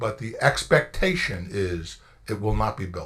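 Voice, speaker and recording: A man speaks at a fairly slow pace with vocal fry. His tone is bright and sharp, and his pitch swings very widely. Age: 60s. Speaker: township attorney. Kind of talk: public meeting explanation. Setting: council meeting room.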